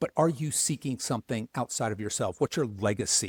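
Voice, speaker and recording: A man with an unremarkable speaking voice talks at a medium pitch with ordinary pitch variation. The sound is dry and close with no echo, in a very clean recording with a silent background. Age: 60s. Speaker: men's coach for men over fifty. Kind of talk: podcast interview.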